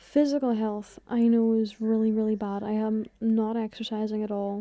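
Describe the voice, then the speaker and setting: Quietly, a woman speaks at a fairly high pitch with fairly even intonation. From Ireland. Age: 20s. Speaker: content creator. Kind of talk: casual vlog talk. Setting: in bed at home.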